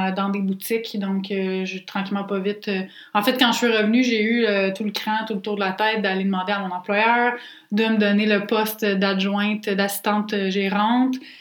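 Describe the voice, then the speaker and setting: Monotone, flat intonation in a Quebec accent at a moderate pace, with noticeable background noise. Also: woman. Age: 20s. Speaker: podcast co-host, entrepreneur. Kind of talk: casual chat.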